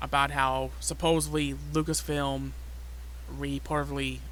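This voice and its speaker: Heard with audible room echo, a man talks at a very slow pace. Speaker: YouTuber, fan commentator. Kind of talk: casual chat. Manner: halting.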